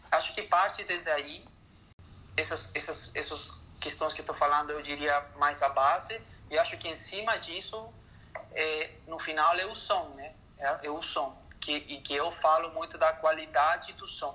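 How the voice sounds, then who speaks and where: With a Spanish accent, a man talks at a fairly slow pace in a fairly high pitch with ordinary pitch variation. There is noticeable background noise. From Chile. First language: Spanish (speaking Portuguese). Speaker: orchestral percussionist. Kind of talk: interview. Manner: halting.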